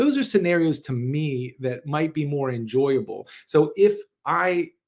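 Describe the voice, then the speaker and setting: A man's normal speaking voice, fairly high in pitch with lively intonation, on a very clean recording with a silent background. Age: 40s. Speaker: podcast host and wellness coach. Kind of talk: solo podcast talk.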